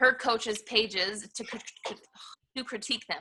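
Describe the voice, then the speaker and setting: The speaker is a woman with a fairly high pitch. Her tone is bright and sharp. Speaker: online fitness coach leading team. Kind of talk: team coaching call, training talk. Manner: fast.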